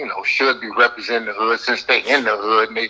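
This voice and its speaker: Fairly quick speech from a man with an American accent at a medium pitch, over noticeable background noise. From Compton, Los Angeles, California. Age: 60s. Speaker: former gang member. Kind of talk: interview. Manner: halting, many fillers.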